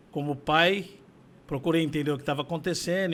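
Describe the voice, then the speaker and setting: A man speaks in a high voice with ordinary pitch variation. His pace is moderate, and the recording is very clean with a silent background. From São Paulo, Brazil. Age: 60s. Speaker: condominium administrator. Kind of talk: interview testimony.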